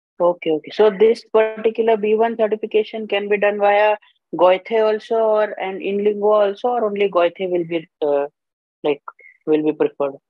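Faint music plays behind a man who speaks at a moderate pace in a high voice with ordinary pitch variation, the sound dry with no echo. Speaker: job seeker. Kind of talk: casual Q&A. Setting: video call. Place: home room. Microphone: video call.

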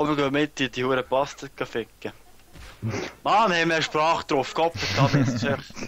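A man with a Swiss German accent at a moderate pace, fairly high in pitch with ordinary variation, and long, frequent pauses. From Switzerland. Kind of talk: casual let's play gaming talk.

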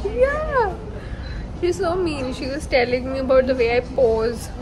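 The speaker goes at a fairly slow pace with crowd noise in the background. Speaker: food vlogger. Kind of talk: casual vlog chat. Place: cafe. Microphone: phone near.

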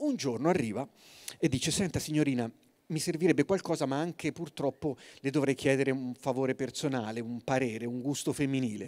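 The man's medium-pitched voice moves fairly quickly, with ordinary pitch variation. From Tuscany, Forte dei Marmi. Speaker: writer giving a talk. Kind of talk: storytelling talk. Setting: stage with audience. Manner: animated; soft-spoken. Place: stage. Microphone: handheld.

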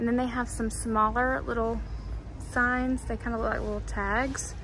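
A woman speaks at a moderate pace in a fairly high pitch, with little pitch movement.

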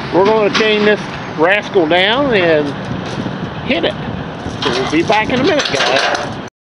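Loud background noise runs beneath speech delivered at a fairly slow pace. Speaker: vlogger hauling a tractor. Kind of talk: casual vlog chat. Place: street. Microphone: phone near.

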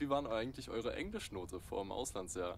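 Here a man speaks in an unremarkable speaking voice at medium pitch. His intonation is lively. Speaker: interviewer. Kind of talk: interview.

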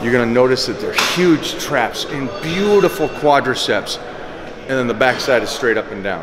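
A man's moderate pace comes through noticeable background noise. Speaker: fitness coach. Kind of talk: tutorial. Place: gym.

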